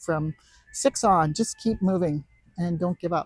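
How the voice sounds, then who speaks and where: A woman's fairly low, somewhat breathy voice with a dark, mellow tone, recorded dry and close with no echo. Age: 70s. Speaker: masters road cyclist. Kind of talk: interview. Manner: halting.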